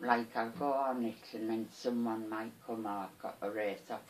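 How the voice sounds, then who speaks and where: This woman has a very deep, low voice and a Teesside accent. She talks at a moderate pace with fairly even intonation. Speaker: charity shop volunteer. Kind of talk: interview answer. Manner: casual, chatty.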